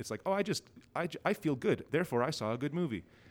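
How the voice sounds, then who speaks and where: A man with a Canadian accent talks at a very fast pace with lively intonation. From Ontario, Canada. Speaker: film director. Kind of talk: casual interview. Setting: on site at a film festival.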